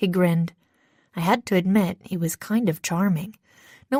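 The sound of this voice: Behind the unforced reading voice, the background stays quiet.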